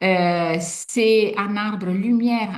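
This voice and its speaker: Somewhat breathy, a woman speaks at a medium pitch in an Italian accent. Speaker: sophrologist and art workshop facilitator. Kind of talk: online workshop presentation. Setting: video call webinar. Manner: hesitant, many fillers.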